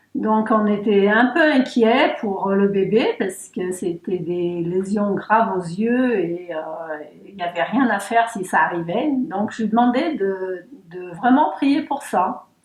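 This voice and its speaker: The voice moves at a very slow pace with lively intonation. Background noise is noticeable. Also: woman, medium pitch for a woman. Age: 60s. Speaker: church member giving testimony. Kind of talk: testimony interview. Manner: hesitant, many fillers.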